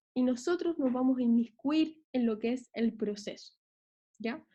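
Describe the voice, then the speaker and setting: Speaking at a moderate pace, a woman has a high pitch and a dark, mellow tone. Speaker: law lecturer. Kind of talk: online lecture. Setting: video call.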